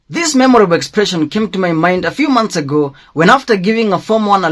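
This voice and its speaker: Lively intonation and a fairly quick pace carry a man's high-pitched voice in a Kenyan accent. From Kenya, Kikuyu. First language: Kikuyu. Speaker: schoolteacher. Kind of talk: personal commentary monologue.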